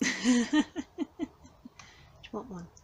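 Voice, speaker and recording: Soft-spoken with a gentle, relaxed tone, a woman at fairly high pitch uses very wide pitch swings and vocal fry at a fairly slow pace. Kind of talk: ASMR cat whispering, casual talk to cats. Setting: cattery. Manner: soft-spoken, gentle, relaxed.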